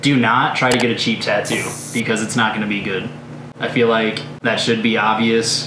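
Over noticeable background noise, a man talks at a fairly quick pace in a flat, monotone delivery. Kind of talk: advice talk to camera. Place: studio.

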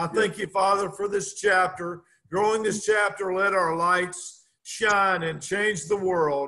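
A man speaks in a raised, projected voice at a high pitch with a bright, sharp tone. His pace is fairly slow and his intonation fairly even. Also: hardly any pauses, quiet background. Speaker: prayer meeting host; guest. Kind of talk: prayer. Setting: video call. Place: home room. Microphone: video call.

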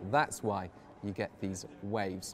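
Light background noise sits behind a man speaking at a fairly slow pace. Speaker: presenter. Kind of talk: explainer to camera. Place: cafe.

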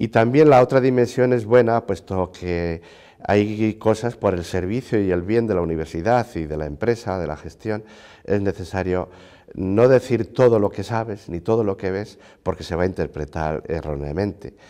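Moving at a moderate pace, a man speaks at a fairly low pitch with ordinary pitch variation. His tone is dark and mellow, and the background is quiet. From Spain, Segovia province; Spain. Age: 60s. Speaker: university rector; interviewee. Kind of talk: interview. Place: office. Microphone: lapel.

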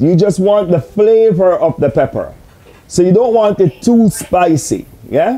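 Speaking at a moderate pace, a man uses lively intonation, high pitch, and a dark, mellow tone. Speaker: host answering remote viewer. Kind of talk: casual explanation answering questions. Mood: friendly, joking. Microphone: camera far.

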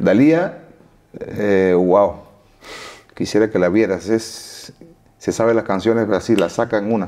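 The tone is dark and mellow, with ordinary pitch variation and very even loudness. The pace is fairly slow, broken by long, frequent pauses. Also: man, fairly low pitch for a man. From Cuba. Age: 40s. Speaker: singer; interviewee. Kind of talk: interview. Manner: halting. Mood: relaxed storytelling. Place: studio. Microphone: lapel.

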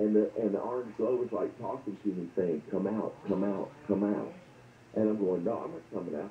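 A man with a fairly low pitch and ordinary pitch variation speaks at a moderate pace, with audible room echo and light background noise. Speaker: radio caller. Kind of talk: personal story told to host. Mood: earnest, recounting strange dreams.

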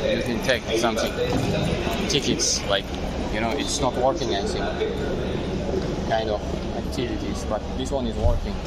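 Over loud background noise, a man talks at a moderate pace with long, frequent pauses, and the sound is dry with no echo. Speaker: travel vlogger. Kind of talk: casual vlog chat. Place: station. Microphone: phone near.

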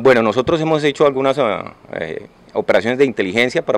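Pitch varies an ordinary amount as the speech moves at a fairly quick pace. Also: man. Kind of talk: press statement. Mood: calm, formal. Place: hall. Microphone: handheld.

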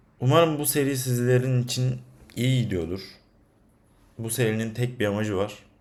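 In a room with audible echo, a man at medium pitch talks at a moderate pace with ordinary pitch variation and long, frequent pauses. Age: 20s. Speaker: freelance data scientist and vlogger. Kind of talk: casual vlog monologue. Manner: animated, conversational.

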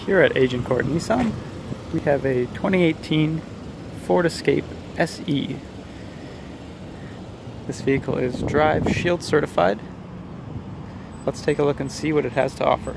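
Over noticeable background noise, a man talks at a fairly slow pace with long, frequent pauses and ordinary pitch variation, in a dry sound with no echo. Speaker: car salesperson. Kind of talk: vehicle walkaround presentation. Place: street. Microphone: phone near.

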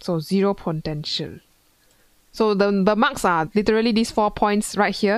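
A woman speaks with an unremarkable speaking voice at a medium pitch, using ordinary pitch variation. The sound is dry with no echo, over a quiet background. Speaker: physics tutor. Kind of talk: tutorial. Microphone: headset.

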